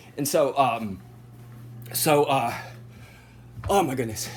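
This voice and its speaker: A man speaks at a medium pitch, somewhat breathy. His pitch swings very widely. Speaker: vlogger. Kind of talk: personal vlog monologue. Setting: at home. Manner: halting, repetitive.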